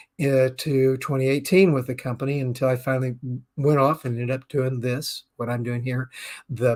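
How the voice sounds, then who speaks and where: At a fairly quick pace, a man speaks in an unremarkable speaking voice of medium pitch, recorded very cleanly against a silent background. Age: 60s. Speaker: business talk show host. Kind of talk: live-streamed talk show monologue. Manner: casual, with frequent fillers.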